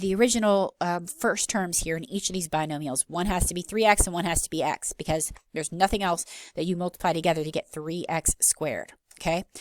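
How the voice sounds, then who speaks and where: A woman at medium pitch and moderate pace, an unremarkable speaking voice. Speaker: math teacher. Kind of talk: lecture.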